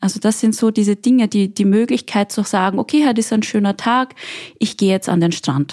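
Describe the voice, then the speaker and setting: The tone is dark and mellow, and the loudness is very even. Speech moves at a fairly quick pace with ordinary pitch variation, in a dry, close sound with no echo. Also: woman, fairly high pitch for a woman. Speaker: guest. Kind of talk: casual chat.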